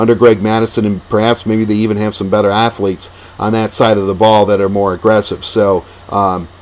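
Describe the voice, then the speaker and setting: Against noticeable background noise, a man talks at a fairly quick pace. His fairly low voice is monotone and flat. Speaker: sports commentator. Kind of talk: casual talk to camera.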